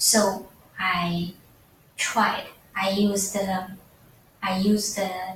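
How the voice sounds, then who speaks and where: Speaking at a medium pitch with a non-native accent, a woman is heard against audible room echo. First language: not English. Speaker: student. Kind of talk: class presentation. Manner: halting, many fillers.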